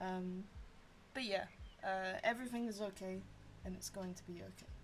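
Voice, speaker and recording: The woman's voice is quiet. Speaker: streamer. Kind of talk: casual livestream chat while colouring. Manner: quiet, subdued; halting, many fillers.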